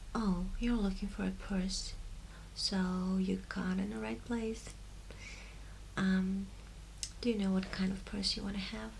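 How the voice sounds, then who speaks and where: Whispering and soft-spoken, a woman talks at a fairly slow pace with long, frequent pauses. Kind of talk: ASMR shop assistant roleplay. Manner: soft-spoken, whispering.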